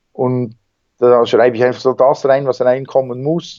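A man at a moderate pace, his pitch in the medium range. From Switzerland, Bernese Seeland. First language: Swiss German (speaking German). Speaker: wingsuit flyer and extreme athlete. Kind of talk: interview. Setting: Skype call.

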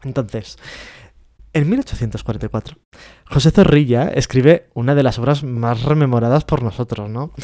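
The sound is dry and close with no echo as a man speaks at a medium pitch in a dark, mellow tone with ordinary pitch variation. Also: fairly slow pace, very clean recording, silent background. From Spain, Catalonia. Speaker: podcast co-host. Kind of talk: casual chat.

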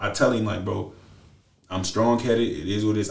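A man talks at a fairly quick pace and a medium pitch, sounding somewhat breathy. Audible room echo surrounds his voice. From US Midwest (Lorain, Ohio). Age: 20s. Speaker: former college football player. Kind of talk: casual chat. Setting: studio.

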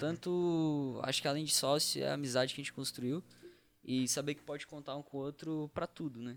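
Fairly even intonation runs through an ordinary speaking voice. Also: man, fairly high pitch for a man. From Santa Catarina, Brazil (Criciúma). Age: young. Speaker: startup co-founder, university student. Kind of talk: casual chat.

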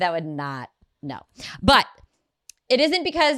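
A woman's fairly low voice with an American accent, bright and sharp in tone, animated, with very wide pitch swings, on a very clean recording against a silent background. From Ohio, US Midwest. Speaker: podcast co-host, mother. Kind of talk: casual chat.

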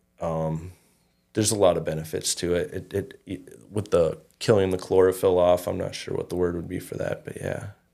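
Fairly quick speech from a man with an Upper Midwest accent, very clean recording, silent background. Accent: Upper Midwest (Minnesota). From Minnesota, Fergus Falls. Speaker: cannabis grow shop owner. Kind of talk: casual interview.

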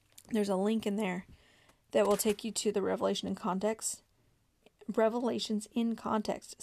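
Using a put-on character voice, a woman sounds raspy at a medium pitch with monotone, flat intonation. She goes at a moderate pace with long, frequent pauses. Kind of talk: casual. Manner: struggling to enunciate.

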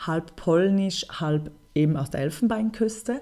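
Very slowly, a woman speaks in a dark, mellow tone with ordinary pitch variation, in a very clean recording with a silent background. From Switzerland, Bern. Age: 30s. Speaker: NGO project manager and filmmaker. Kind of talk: interview.

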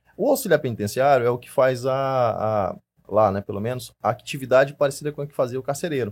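A man speaks with a plain, everyday voice at a medium pitch, moving at a fairly quick pace with ordinary pitch variation. His loudness swings widely, and the recording is very clean with a silent background. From Maranhão, Brazil (Imperatriz). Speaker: firearms instructor and police investigator. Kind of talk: casual interview chat.

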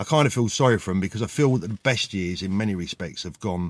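Very fast speech from a man with a British accent, lively intonation, and a very clean recording with a silent background. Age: 50s. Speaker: former watch dealer. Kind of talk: casual vlog monologue. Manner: halting, many fillers.

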